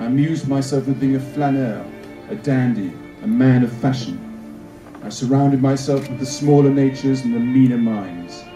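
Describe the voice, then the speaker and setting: A medium-pitched male voice with ordinary pitch variation and music in the background. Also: moderate pace. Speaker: actor. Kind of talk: literary reading. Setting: outdoors, cemetery, pocket camera microphone.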